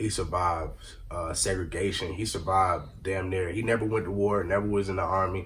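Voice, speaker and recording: With audible room echo, a man speaks at a fairly quick pace in a very deep, low pitch and a monotone, flat intonation. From Rockford area, Illinois. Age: 20s. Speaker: aspiring rapper and former college football player. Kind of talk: casual interview. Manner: slurred words.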